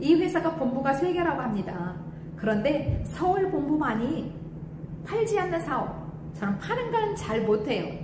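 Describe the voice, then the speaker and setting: A woman speaks at a fairly slow pace in a high voice with very wide pitch swings, against noticeable background noise and audible room echo. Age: 60s. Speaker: former hair salon owner turned cosmetics distributor. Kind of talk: testimony.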